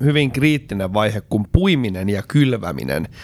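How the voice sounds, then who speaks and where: With noticeable background noise behind him, a man speaks in very wide pitch swings. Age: 40s. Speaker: podcast co-host and farmer. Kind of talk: casual chat. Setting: studio. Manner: hesitant with filler sounds.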